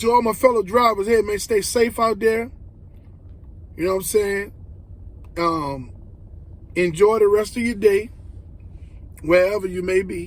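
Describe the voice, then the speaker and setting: Speaking at a moderate pace in a Southern US accent, the voice sounds animated and leaves long, frequent pauses. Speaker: rideshare driver and video blogger. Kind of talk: casual advice monologue to camera. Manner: animated, conversational; repetitive, stumbling.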